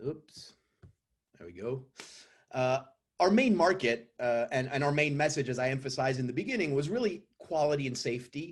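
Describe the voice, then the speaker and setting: Somewhat breathy and fairly high, a man with a French accent speaks at a moderate pace with lively intonation and long, frequent pauses. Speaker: company CEO pitching investors. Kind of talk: investor pitch presentation.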